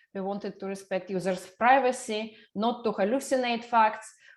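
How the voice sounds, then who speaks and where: A woman with a non-native accent speaks at a moderate pace in a fairly high voice. Her pitch varies in an ordinary way on a very clean recording with a silent background. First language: not English. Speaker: NLP researcher. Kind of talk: lecture. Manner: hesitant, with fillers.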